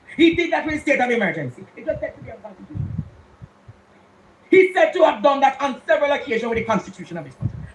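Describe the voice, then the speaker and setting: A man with a Jamaican accent speaks very fast at an extremely high pitch, his pitch swinging very widely. There are long, frequent pauses, and the background noise is noticeable. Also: big swings in loudness. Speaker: live-stream political commentator. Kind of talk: live call-in stream commentary. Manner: animated.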